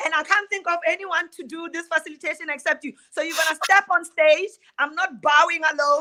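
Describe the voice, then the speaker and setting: A woman talks at a fairly quick pace in a raised, projected voice with an extremely high pitch. Her tone is animated, bright and sharp. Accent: South African. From South Africa, Qwaqwa (Free State). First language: Sotho. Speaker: playwright and theater director. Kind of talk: casual chat.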